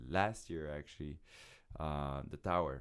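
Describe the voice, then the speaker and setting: A man speaks with a French Canadian accent at a fairly slow pace. The recording is very clean, with a silent background. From Quebec. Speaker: circus show producer and acrobat. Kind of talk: podcast interview. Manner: halting, with repetitions.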